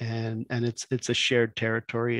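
Over a quiet background, a man is heard in a dry sound with no echo. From Mi'kmaq community, eastern Quebec; Quebec. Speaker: former First Nation chief; panelist. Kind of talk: panel talk. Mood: calm, explanatory. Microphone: headset.

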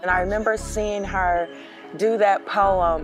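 Over clear music in the background, a woman speaks at a fairly slow pace, the sound dry with no echo. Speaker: spoken word poet. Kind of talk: interview answer. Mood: emotional, reflective recollection of grief. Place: street. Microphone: lapel.

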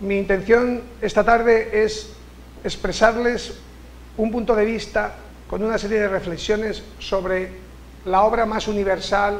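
Light background noise sits behind a man with a Castilian accent who speaks at a fairly slow pace in a high-pitched, monotone, flat voice. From Spain, Castilla-La Mancha (Cuenca). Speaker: writer and university director. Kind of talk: lecture. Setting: stage with audience. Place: hall. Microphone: podium.

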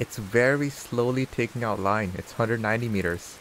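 Noticeable noise sits behind a man speaking at a moderate pace. His pitch is medium with ordinary variation. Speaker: game streamer. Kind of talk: live gameplay commentary. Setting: live stream. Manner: loud, shouting over rain.

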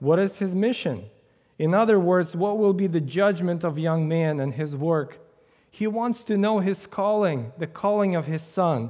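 Over a quiet background, a man with a high pitch and a dark, mellow tone speaks at a moderate pace with ordinary pitch variation. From Ukraine. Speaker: preacher. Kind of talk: sermon. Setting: church. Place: church.

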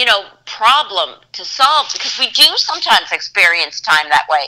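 A woman speaks in a bright, sharp tone at a moderate pace, her pitch swinging very widely. The background is quiet. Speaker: guest. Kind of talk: interview answer.

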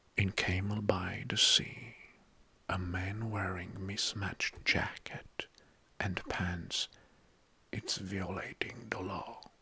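The man's speech is a whisper. His pace is very slow, broken by long, frequent pauses. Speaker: online video host. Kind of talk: soft-spoken commentary reading facts. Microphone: studio mic.

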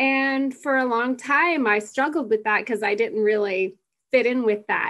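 In a quiet background, a woman speaks at a moderate pace with ordinary pitch variation. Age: 40s. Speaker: panelist on womanhood. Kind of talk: reflective casual talk. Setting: video call. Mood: reflective, smiling. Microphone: webcam.

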